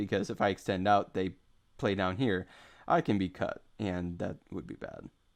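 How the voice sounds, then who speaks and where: A man speaks with a fairly low pitch and fairly even intonation. The background is quiet. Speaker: go game streamer. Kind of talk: live game commentary. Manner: slow; halting.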